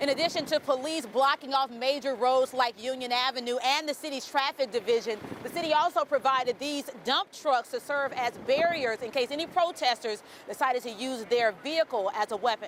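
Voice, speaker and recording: Over noticeable background noise, a woman talks at a fairly quick pace with hardly any pauses, her high voice showing ordinary pitch variation. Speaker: television news anchor and reporter. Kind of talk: television news anchor reading headlines and traffic report.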